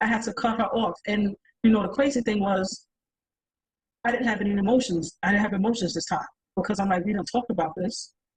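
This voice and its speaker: A somewhat breathy woman with a New York accent, animated in tone, talking at a very fast pace with ordinary pitch variation and long, frequent pauses. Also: medium pitch for a woman. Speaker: panelist. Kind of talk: panel discussion.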